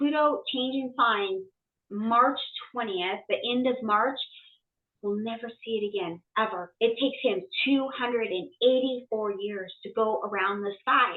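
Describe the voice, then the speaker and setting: A woman speaks in a plain, everyday voice at a fairly slow pace. Her pitch is fairly high, with ordinary pitch variation. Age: 50s. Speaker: medium and astrologer. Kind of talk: casual chat. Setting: podcast.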